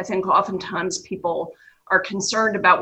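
A woman with an American accent speaks at medium pitch and a moderate pace, her bright, sharp tone showing ordinary pitch variation. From New York, US Northeast. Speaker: trust company executive. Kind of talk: radio interview discussion. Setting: remote interview.

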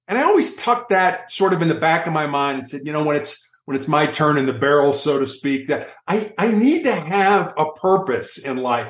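A man speaks in a plain, everyday voice at a moderate pace. His pitch is fairly high and his intonation lively. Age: 60s. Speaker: motivational speaker and author. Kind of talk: interview. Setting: studio.

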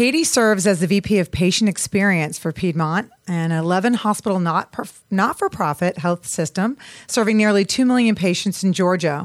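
A woman with a plain, everyday voice at medium pitch speaks at a moderate pace with hardly any pauses, very even loudness and ordinary pitch variation, in a dry, close sound with no echo on a very clean recording with a silent background. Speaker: radio host. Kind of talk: radio interview. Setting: studio.

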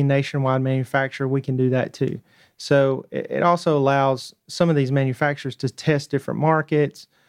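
The speaker has a Southern US accent and talks at a fairly quick pace with monotone, flat intonation. The sound is dry and close with no echo. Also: man. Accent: Southern US twang. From North Georgia. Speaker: tech startup founder. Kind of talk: radio interview. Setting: studio.

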